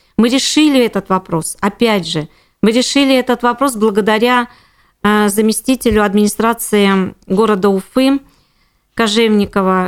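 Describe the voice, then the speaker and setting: A woman speaks in a plain, everyday voice, fairly high with ordinary pitch variation, at a fairly slow pace. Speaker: housing and utilities lawyer. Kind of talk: interview.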